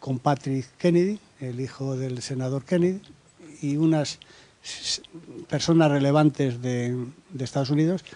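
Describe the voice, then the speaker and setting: With long, frequent pauses, a man speaks at a fairly slow pace in a fairly high pitch and a dark, mellow tone. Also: ordinary pitch variation. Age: 60s. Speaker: human rights activist, audience member. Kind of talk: round-table discussion, audience intervention. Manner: hesitant, with fillers.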